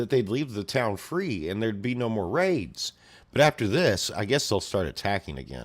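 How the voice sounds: Lively intonation stands out. It comes in a natural reading voice.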